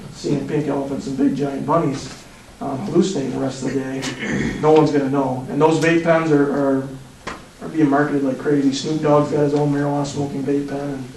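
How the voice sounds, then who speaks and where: A man's fairly high voice at a fairly quick pace, with fairly even intonation, noticeable background noise and audible room echo. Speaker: police drug expert giving presentation. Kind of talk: presentation to city council. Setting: council meeting. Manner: fast.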